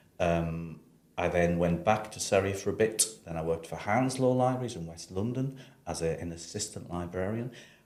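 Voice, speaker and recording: A man with a northeast English accent speaks in a very deep, low pitch at a moderate pace. His pitch varies in an ordinary way, while his loudness swings widely. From northeast England, Sunderland. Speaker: university library director. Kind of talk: casual interview.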